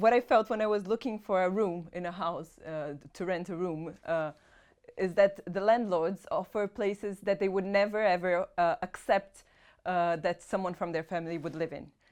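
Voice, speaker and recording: In a Portuguese accent, a woman speaks at a moderate pace with fairly even intonation against a quiet background. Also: medium pitch for a woman. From Brazil. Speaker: private renter. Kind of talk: interview.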